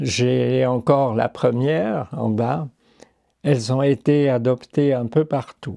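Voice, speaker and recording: A man's medium-pitched voice, dark and mellow in tone, at a very slow pace, with a dry, close sound and no echo. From Ticino, Switzerland. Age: 80s+. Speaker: painter and engraver. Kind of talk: interview. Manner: halting, with hesitations.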